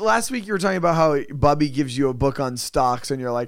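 A man with a fairly high pitch speaks at a fairly quick pace with lively intonation. He has a plain, everyday voice. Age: 30s. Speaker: podcast co-host. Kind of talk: casual chat.

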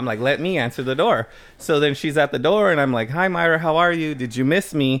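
In a plain, everyday voice, a man with an American accent speaks with ordinary pitch variation. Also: fairly high pitch for a man, fairly quick pace. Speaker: guest cousin. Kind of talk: casual chat. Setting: studio.

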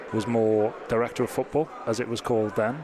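Noticeable background noise sits behind a monotone, flat delivery in a Welsh accent. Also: man. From Wales. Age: 30s. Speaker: soccer technical advisor. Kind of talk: interview.

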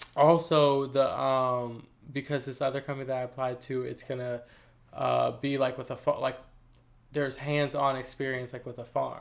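Speaking at a moderate pace, a man keeps a monotone, flat intonation at a medium pitch. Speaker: podcast co-host. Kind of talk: casual chat. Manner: stumbles over words.

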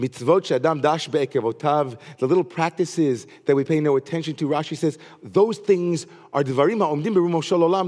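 On a very clean recording with a silent background, a man with a plain, everyday voice speaks fairly quickly at a fairly high pitch with ordinary pitch variation. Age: 40s. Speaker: rabbi. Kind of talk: sermon.

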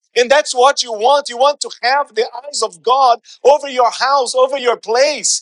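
The man's pitch is extremely high, and his intonation stays fairly even. He keeps a moderate pace in a dry, close recording with no echo. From Brazil. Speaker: pastor. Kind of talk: impassioned Pentecostal sermon in full flow, preaching to a live congregation. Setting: church with congregation. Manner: fervent and rising, punchy repeated phrases building to exhortation; call-and-response, urging the crowd to answer.

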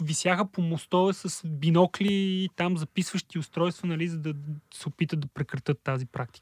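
A man's high-pitched voice at a fairly quick pace, with ordinary pitch variation and a dry, close sound with no echo. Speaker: data and text analysis specialist. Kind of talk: casual chat.

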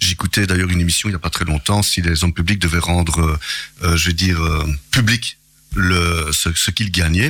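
The man's very deep, low voice keeps a very even loudness and fairly even intonation. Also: moderate pace. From Belgium, Charleroi. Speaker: local politician. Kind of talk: radio interview. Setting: radio studio.

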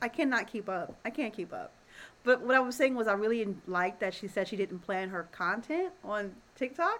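A woman with a normal speaking voice and fairly high pitch talks at a moderate pace with lively intonation. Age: 30s. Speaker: podcast co-host. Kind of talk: casual chat.

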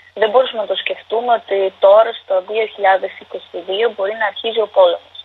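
Against noticeable background noise, a woman with a fairly high pitch talks in a flat, monotone way at a fairly slow pace with hardly any pauses. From Ukraine (Donetsk, then Dnipro). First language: Ukrainian or Russian (speaking Greek). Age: 20s. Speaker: university student, war refugee. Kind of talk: interview. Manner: halting.

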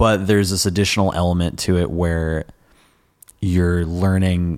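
A man with a Californian accent speaks in a very deep, low voice with fairly even intonation. The recording is very clean, with a silent background. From US West Coast, Sonoma County, California. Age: 20s. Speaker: musician. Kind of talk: casual chat. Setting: stage with audience.

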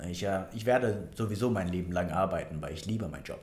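A man speaks in a somewhat breathy voice, with audible echo from the room. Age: 20s. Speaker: financial planner and personal trainer. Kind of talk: casual interview. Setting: office. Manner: hesitant, many fillers.

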